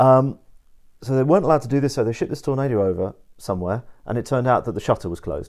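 Over a very clean, silent background, a man talks at a very fast pace with lively intonation and a medium pitch. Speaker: podcast guest. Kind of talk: casual conversation. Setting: mountain chalet, Switzerland.

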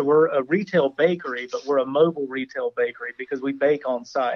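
A man has a normal speaking voice with a fairly high pitch. He talks at a moderate pace. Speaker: cookie baker, business owner. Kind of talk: casual interview chat.

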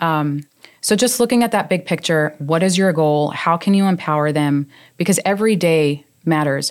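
A woman's fairly low-pitched, unremarkable speaking voice with an American accent, moderate pace, very even loudness and ordinary pitch variation, on a very clean recording with a silent background. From New York. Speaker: business administrator. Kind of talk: casual interview.

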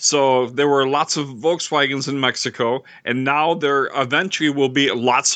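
With a bright, sharp tone and a fairly high pitch, a man speaks at a moderate pace with hardly any pauses. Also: quiet background. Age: 60s. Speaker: podcast co-host. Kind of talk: casual chat.

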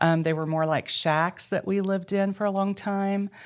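A woman with an Arkansas accent, speaking at a moderate pace. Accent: Southern US (Arkansas). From US South, western Arkansas. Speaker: ministry co-founder sharing life story. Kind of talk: testimony.

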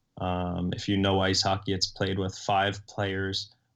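A man with an American accent speaks in a monotone, flat intonation at a moderate pace and fairly low pitch, on a very clean recording with a silent background. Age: 20s. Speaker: professional hockey player and coach. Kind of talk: interview.

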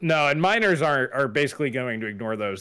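Loud and bright with a sharp tone, a man at medium pitch talks at a moderate pace on a very clean recording with a silent background. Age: old. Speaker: tech YouTuber and podcast co-host. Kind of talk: casual chat. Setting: live stream.

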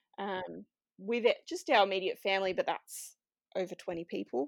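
A woman in an Australian accent speaks at a moderate pace, the sound dry and close with no echo. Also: very clean recording, silent background. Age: 30s. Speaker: IVF patient and mother. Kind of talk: interview testimony.

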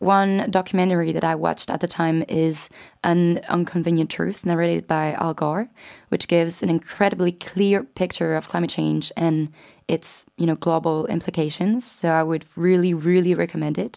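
In a very clean recording with a silent background, a woman with a French accent speaks at a moderate pace, her fairly low voice keeping fairly even intonation. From France. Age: 20s. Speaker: student podcast co-host. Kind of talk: casual chat.

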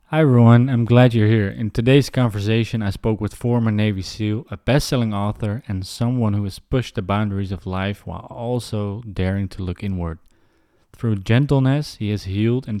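On a very clean recording with a silent background, a man with a Dutch accent speaks at a moderate pace in a dark, mellow tone, with fairly low pitch, ordinary pitch variation and big swings in loudness. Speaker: podcast host. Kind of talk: scripted intro. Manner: halting.

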